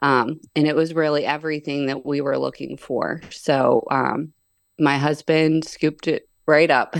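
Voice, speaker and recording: Against a quiet background, a woman speaks in a very deep, low pitch. Her delivery is fairly slow, with a monotone, flat intonation. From western Pennsylvania, Pittsburgh. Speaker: pig farmer. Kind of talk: casual interview.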